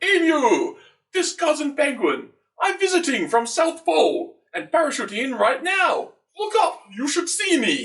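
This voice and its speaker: At a moderate pace, a man puts on a character voice with an extremely high pitch. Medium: read story. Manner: clipped broken English.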